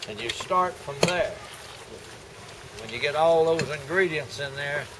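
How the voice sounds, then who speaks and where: Amid noticeable background noise and audible room echo, a man with an American accent speaks at a fairly slow pace in a fairly high voice, with ordinary pitch variation and big swings in loudness. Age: 80s+. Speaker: singing convention lemonade maker. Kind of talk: casual demonstration.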